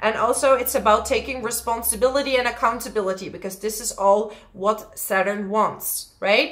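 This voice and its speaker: Speaking at a moderate pace with hardly any pauses, a woman keeps a fairly high pitch and fairly even intonation over noticeable background noise. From Netherlands. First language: Dutch. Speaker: astrologer. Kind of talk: astrology forecast monologue. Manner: casual, with frequent fillers.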